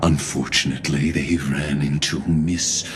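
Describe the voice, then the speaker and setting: A man does a cartoonish character voice over clear background noise. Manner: formal, measured, cryptic.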